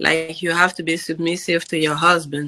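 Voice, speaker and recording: A woman with a strong African accent speaks in a bright, sharp tone at a fairly low pitch. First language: African native language. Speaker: podcast guest, immigrant mother. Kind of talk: casual interview chat. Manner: deliberately slow.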